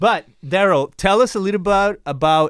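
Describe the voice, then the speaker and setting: A man in a Mexican accent speaks with an enthusiastic tone. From Mexico. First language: Spanish. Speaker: podcast host. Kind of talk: interview conversation.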